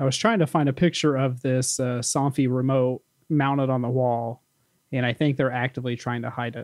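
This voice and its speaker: A man with an American accent and a normal speaking voice speaks at a medium pitch with fairly even intonation, in a dry, close sound with no echo. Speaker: podcast co-host. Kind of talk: casual chat.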